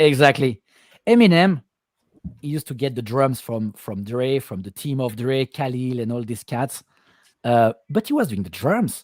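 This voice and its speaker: A man with a non-native accent, medium pitch, ordinary pitch variation and a moderate pace, in a dry, close recording with no echo and a silent, very clean background. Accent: foreign accent, self-described. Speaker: music producer. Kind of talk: casual chat. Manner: halting, repeats words.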